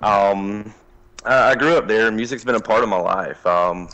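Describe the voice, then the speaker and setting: Here a man speaks at a fairly slow pace. His voice sits fairly low, in a Southern accent. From US South, southeast Alabama. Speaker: country singer. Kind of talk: interview.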